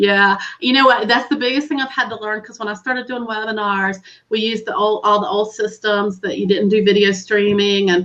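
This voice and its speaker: A woman's fairly high voice with a Southern US accent, fairly quick pace, big swings in loudness and fairly even intonation. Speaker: webinar host. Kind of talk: casual chat.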